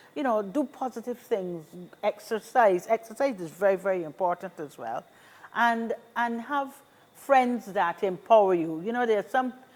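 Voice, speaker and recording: A woman speaks in an ordinary speaking voice at a fairly high pitch. Her pace is moderate and her pitch variation ordinary. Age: 60s. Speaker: seniors' association representative. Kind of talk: talk show interview.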